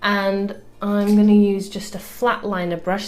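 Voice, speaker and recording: A woman at medium pitch with a British accent, speaking at a fairly slow pace over music in the background. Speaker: beauty vlogger. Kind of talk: makeup tutorial talk to camera.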